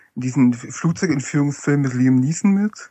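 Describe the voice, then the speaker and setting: A man speaks with an Upper Franconian accent. His pitch sits fairly high. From Upper Franconia, Germany. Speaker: fan forum administrator, autograph collector. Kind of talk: casual chat.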